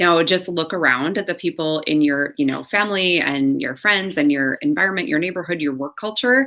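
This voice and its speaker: A woman with a fairly low pitch talks at a fairly quick pace with lively intonation and hardly any pauses. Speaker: holistic health practitioner. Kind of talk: book review talk. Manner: hesitant, many fillers.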